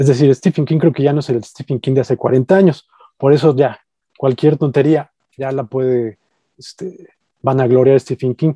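A dark, mellow tone with a Mexican accent, at a moderate pace, in a dry, close sound with no echo. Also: man, fairly high pitch for a man. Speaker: podcast co-host, horror film critic. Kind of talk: casual chat. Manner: halting, many fillers.

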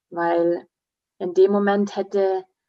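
A woman speaks at medium pitch and a very slow pace. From Bavaria, Munich area; half Swiss, grew up in the mountains. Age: 40s. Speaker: naturopath and speaker. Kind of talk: interview, personal testimony.

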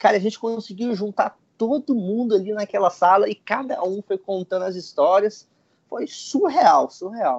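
Here is a man speaking. His intonation is lively. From Goiânia, Central-West Brazil. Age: 20s. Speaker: travel blogger and backpacker. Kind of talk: casual chat.

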